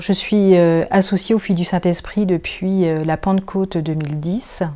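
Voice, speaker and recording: This is an ordinary speaking voice at a moderate pace with fairly even intonation. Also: woman, medium pitch for a woman. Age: 50s. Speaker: nursing assistant, church lay associate. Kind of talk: testimony interview.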